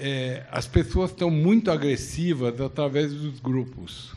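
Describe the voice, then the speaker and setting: Very slow speech from a man, pitch moving in a normal way. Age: 70s. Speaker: audience member. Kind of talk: question from audience. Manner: halting.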